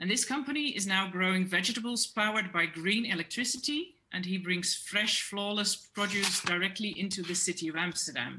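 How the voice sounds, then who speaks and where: A woman speaks at a fairly quick pace with hardly any pauses. Her pitch is medium, with ordinary pitch variation. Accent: Dutch. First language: Dutch. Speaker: food system expert. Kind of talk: presentation; panel discussion. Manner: halting.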